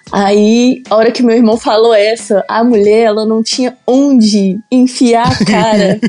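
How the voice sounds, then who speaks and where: With a dark, mellow tone and fairly high pitch, a woman talks at a fairly slow pace with hardly any pauses, very even loudness and fairly even intonation. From Belo Horizonte, Minas Gerais, Brazil. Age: 20s. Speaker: car content creator. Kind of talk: casual chat.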